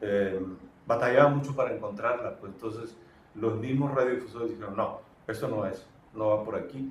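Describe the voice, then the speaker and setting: Medium-pitched male speech at a fairly quick pace, with fairly even intonation over noticeable background noise. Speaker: radio announcer. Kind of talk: interview answer.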